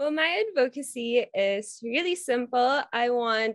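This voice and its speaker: In a quiet setting with dry, echo-free sound, a woman speaks at a high pitch with very wide pitch swings. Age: 20s. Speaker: beauty pageant candidate; candidate. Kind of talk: interview. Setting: video call. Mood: warm, upbeat. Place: home room. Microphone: video call.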